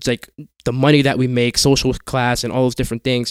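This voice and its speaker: A man speaks in a medium pitch. His sound is dry and close, with no echo. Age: 20s. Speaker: youth minister. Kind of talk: casual chat.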